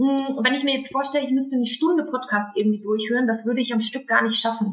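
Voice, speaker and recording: Over noticeable background noise, a woman speaks at a very fast pace with fairly even intonation. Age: 20s. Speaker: podcast co-host, marketing expert. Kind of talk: casual chat.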